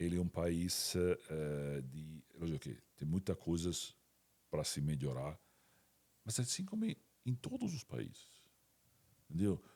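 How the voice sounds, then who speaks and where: Pausing long and often, a man with a slight Italian accent speaks fairly slowly in a very deep, low voice with a dark, mellow tone and ordinary pitch variation. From Italy. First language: Italian (speaking Portuguese). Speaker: company CEO. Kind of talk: interview podcast. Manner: halting, many repetitions.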